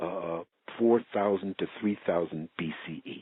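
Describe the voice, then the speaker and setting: An ordinary speaking voice, this man talks with an American accent at a moderate pace and a fairly low pitch. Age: 60s. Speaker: researcher and author. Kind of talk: interview.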